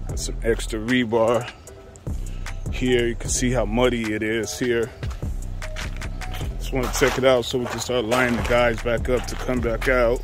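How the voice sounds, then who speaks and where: A man at a moderate pace with long, frequent pauses, dry sound with no echo, and clear music in the background. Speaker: construction contractor. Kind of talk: casual site walkthrough commentary. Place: garden. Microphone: phone near.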